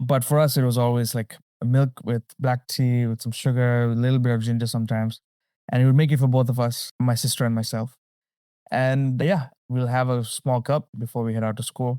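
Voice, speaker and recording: Speaking fairly quickly with a Tamil accent, a man uses a medium pitch and a dark, mellow tone. His intonation is monotone and flat, on a very clean recording with a silent background. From Sri Lanka and the Middle East. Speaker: storyteller and educator. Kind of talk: interview. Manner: conversational, some hesitation.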